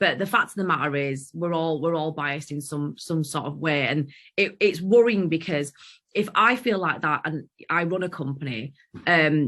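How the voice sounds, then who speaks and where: Speaking at a moderate pace in a strong Yorkshire accent, a woman has a very deep, low pitch and ordinary pitch variation. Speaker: podcast co-host. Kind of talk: casual chat.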